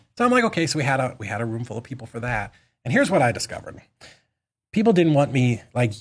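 In a very clean recording with a silent background, a man with an American accent and medium pitch speaks very fast in a somewhat breathy voice with lively intonation. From Boston, US. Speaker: real estate investor and business owner. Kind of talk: casual interview.

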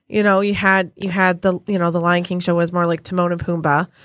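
The recording is very clean with a silent background. A woman talks fairly quickly at a fairly low pitch, her intonation monotone and flat. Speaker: podcast host. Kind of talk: casual chat. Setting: studio.

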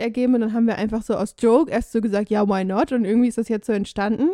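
A woman's fairly high voice has a dark, mellow tone and ordinary pitch variation. The sound is dry and close with no echo, on a very clean recording with a silent background. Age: 20s. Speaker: travel podcaster. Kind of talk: casual chat.

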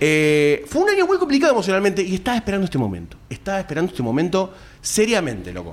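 A man with a Rioplatense accent speaks at a very fast pace. Background noise is noticeable. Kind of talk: live podcast panel chat before audience. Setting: stage with live audience.

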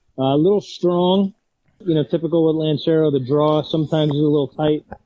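Speaking at a moderate pace, a man with a fairly high pitch has a plain, everyday voice. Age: 40s. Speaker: cigar podcast remote panelist. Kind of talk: casual chat. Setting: remote call-in.

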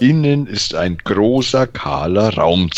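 An unforced reading voice comes through with lively intonation.

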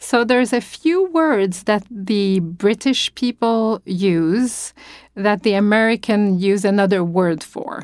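Speaking with a French accent, a woman talks at a very slow pace and a medium pitch. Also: ordinary pitch variation. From France. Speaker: opera singer. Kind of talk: interview. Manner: halting.

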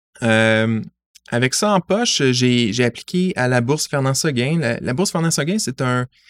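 Recorded very cleanly over a silent background, a man speaks at a moderate pace in an ordinary speaking voice of medium pitch with lively intonation. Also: dry, close sound with no echo. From Montreal, Quebec (LaSalle). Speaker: science media relations adviser. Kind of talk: interview. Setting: in person.

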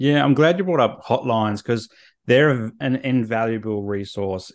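The speaker is a man with an Australian accent. His pitch varies in an ordinary way. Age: 30s. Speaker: therapist. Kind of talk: interview.

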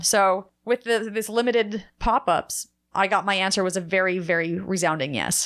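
A normal speaking voice with an American accent and ordinary pitch variation. It comes through on a very clean recording with a silent background. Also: woman. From New Jersey. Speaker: bagel shop owner. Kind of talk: casual interview.

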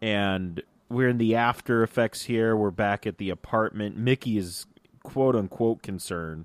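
At a moderate pace, a man speaks in a fairly low pitch with an ordinary speaking voice, the sound dry and close with no echo. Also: ordinary pitch variation. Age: 30s. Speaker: podcast host. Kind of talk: casual chat. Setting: studio.

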